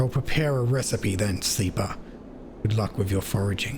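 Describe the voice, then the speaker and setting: A man puts on a booming character voice, fairly low in pitch, at a moderate pace. His loudness stays very even over clear background noise. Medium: game stream. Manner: warm, measured, formal phrasing.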